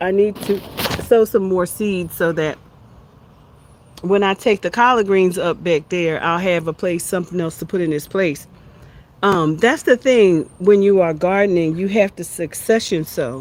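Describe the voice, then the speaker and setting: A woman speaks with an American accent in an ordinary speaking voice. Her pitch is medium, with ordinary pitch variation, at a moderate pace. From USA. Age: 60s. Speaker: homesteading and wellbeing livestreamer. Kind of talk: casual livestream chat. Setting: outdoors in backyard.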